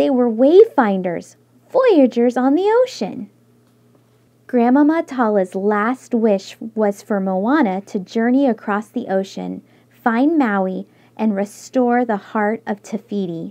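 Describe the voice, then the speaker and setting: A woman speaks at a very slow pace and fairly high pitch, with ordinary pitch variation. Her tone is warm and gentle, yet dark and mellow. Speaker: storybook reader. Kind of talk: bedtime story reading aloud to children. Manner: warm, gentle, expressive storyteller pacing; cheerful, child-directed, animated.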